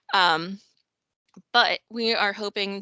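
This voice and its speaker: The woman's bright, sharp tone comes through dry and close, with no echo. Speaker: government geographer giving a presentation. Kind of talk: conference presentation.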